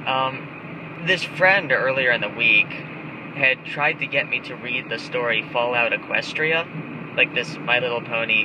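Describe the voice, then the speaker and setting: A man speaks fairly slowly with ordinary pitch variation while noticeable background noise carries on. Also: medium pitch for a man. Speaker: webcomic artist. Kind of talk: casual vlog while driving.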